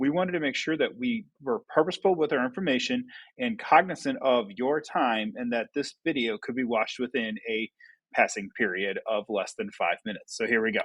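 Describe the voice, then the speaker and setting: Delivered at a fairly quick clip, the speech rises and falls through very wide pitch swings. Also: man, medium pitch for a man. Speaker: school staff committee member. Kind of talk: staff presentation. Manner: fast.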